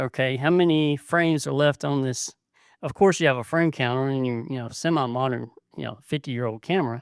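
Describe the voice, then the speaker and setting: A man speaks in a Southern US accent at a moderate pace with fairly even intonation. The recording is dry and close, with no echo. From US South, South Carolina. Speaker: podcaster, blind photographer. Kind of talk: casual podcast monologue. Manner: hesitant, many fillers.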